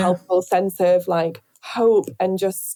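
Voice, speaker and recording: With a northern English accent, a woman speaks at a medium pitch in a dark, mellow tone. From Northern England. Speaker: radio presenter. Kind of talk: interview answer. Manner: hesitant, casual.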